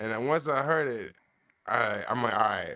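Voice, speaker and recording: A man's medium-pitched, bright and sharp voice with a New York accent, fairly slow and lively in intonation, on a very clean recording with a silent background. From Long Island, New York. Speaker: rapper. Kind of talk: casual chat.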